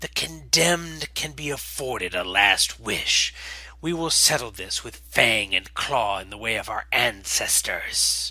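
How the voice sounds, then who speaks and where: Using a put-on character voice that is raspy and hissing, a man speaks at a fairly slow pace with big swings in loudness. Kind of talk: solemn, formal challenge speech. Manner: arrogant, contemptuous, threatening.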